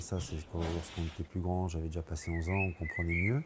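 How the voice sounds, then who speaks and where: A man with a very deep, low, somewhat breathy voice speaks at a very fast pace. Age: 60s. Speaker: retired carpenter. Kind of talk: testimony. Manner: halting.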